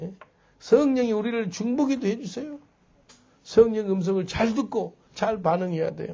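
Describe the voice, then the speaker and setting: This man has a high pitch with ordinary variation, speaking at a moderate pace with long, frequent pauses and big swings in loudness. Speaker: pastor. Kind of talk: sermon.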